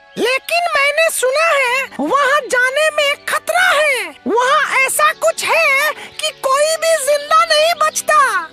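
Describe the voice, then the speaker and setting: A cartoonish character voice speaks at an extremely high pitch and a very slow pace. Faint music plays in the background. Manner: worried, hesitant.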